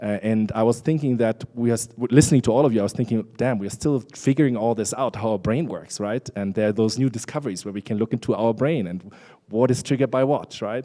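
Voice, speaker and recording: A man speaks very fast with hardly any pauses, in a dark, mellow tone at a medium pitch with ordinary pitch variation. The recording is very clean, with a silent background. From Germany. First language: German. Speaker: international organization official, conference speaker. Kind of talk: conference presentation. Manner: conversational, with many fillers.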